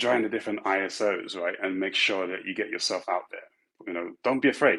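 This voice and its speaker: The pace from this man is fairly quick. He has an English accent. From London, England. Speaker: tech executive. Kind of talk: panel talk giving career advice. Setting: virtual conference. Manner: halting, many fillers and restarts.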